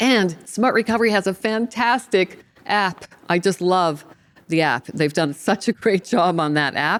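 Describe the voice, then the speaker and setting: A normal speaking voice from a woman, medium in pitch, with lively intonation, very even loudness and a fairly slow pace. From Canada (Ontario). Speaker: podcast host, recovery coach. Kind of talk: casual chat.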